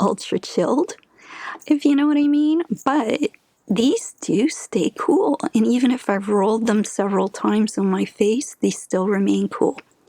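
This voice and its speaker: Soft-spoken and dark, mellow in tone, a woman speaks with lively intonation at very even loudness. The sound is dry and close, with no echo. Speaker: beauty content creator. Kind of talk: ASMR skincare tutorial.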